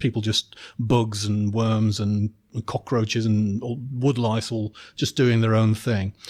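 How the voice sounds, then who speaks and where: The recording is very clean, with a silent background. A man with an English accent speaks at a medium pitch. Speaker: podcast host. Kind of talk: podcast interview. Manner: halting.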